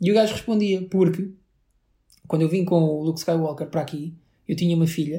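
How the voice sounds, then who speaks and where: In a European Portuguese accent, the speaker goes at a fairly quick pace in a dark, mellow tone. The intonation is monotone and flat. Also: man. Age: 30s. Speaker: podcast co-host. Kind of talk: casual chat.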